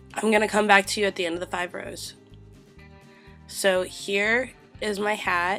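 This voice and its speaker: Over music in the background, a woman with a medium pitch and monotone, flat intonation speaks at a moderate pace with long, frequent pauses. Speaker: crochet tutorial host. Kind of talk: craft tutorial narration.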